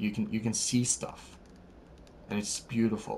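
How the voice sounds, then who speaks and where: In a Norwegian accent, a man talks at a medium pitch with monotone, flat intonation. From Norway. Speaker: gaming YouTuber. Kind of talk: let's play commentary. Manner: casual, with many fillers.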